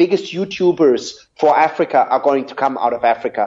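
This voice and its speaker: A man with a German accent, fairly high in pitch, at a fairly quick pace. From southern Germany. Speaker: media executive. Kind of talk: interview.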